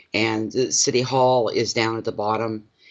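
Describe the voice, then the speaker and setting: A man with an Atlantic Canadian accent and a medium-pitched voice. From Canada, Saint John, New Brunswick. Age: 60s. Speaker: tarot reader. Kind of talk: casual livestream chat.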